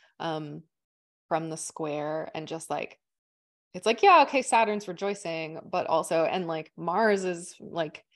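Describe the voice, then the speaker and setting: An ordinary speaking voice from a woman with a Canadian accent, fairly low in pitch, fairly slow, with fairly even intonation and a quiet background. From Manitoba, Canada. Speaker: astrologer. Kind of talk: casual chat.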